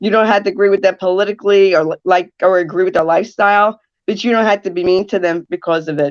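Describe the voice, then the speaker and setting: Dry and close with no echo, a woman with an American accent talks at a fairly quick pace and medium pitch with ordinary pitch variation. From New Jersey. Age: 60s. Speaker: radio talk show host and caregiver advocate. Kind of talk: podcast interview. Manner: straightforward.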